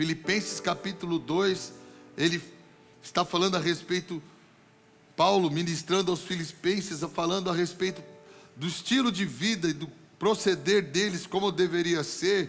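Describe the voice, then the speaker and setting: Over music in the background, a man speaks in a high voice at a moderate pace with fairly even intonation. He pauses often and at length. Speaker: pastor. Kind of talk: sermon. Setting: church.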